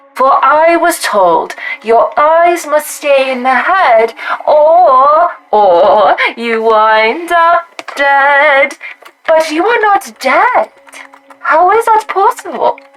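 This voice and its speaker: A woman uses a put-on character voice, high in pitch, at a very slow pace with long, frequent pauses. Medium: actual play.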